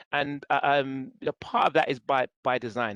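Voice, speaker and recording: The sound is dry and close with no echo as a man with a London accent speaks at a medium pitch. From England (East London). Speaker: city government staff, presenter. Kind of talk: guest lecture. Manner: halting, many fillers.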